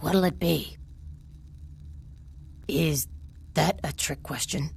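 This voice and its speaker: A put-on character voice moves at a very slow pace. Background noise is clearly audible. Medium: video game. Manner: deadpan, sarcastic.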